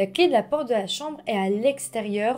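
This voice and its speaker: A woman's calm tone at a moderate pace, with very wide pitch swings. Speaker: true-crime YouTuber. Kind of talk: true-crime narration, scripted storytelling to camera. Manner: calm, measured, storyteller tone with friendly asides. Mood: serious, calm narration. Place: home room.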